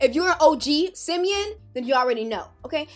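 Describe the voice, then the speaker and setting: A woman speaks in a high pitch with an animated tone. Music plays in the background. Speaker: Sims YouTuber. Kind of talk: casual vlog commentary. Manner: fast.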